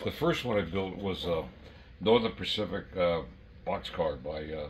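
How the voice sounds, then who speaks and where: A man with a very deep, low voice and vocal fry talks with lively intonation over audible room echo. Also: moderate pace. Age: 80s+. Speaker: model train collector and former brass dealer. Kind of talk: casual chat. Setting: at home train layout.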